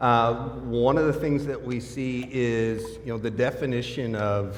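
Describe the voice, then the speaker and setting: A man with an American accent speaks at a medium pitch with fairly even intonation. Noticeable background noise and audible room echo are present. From US. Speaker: product marketing director, panelist. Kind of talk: conference panel discussion.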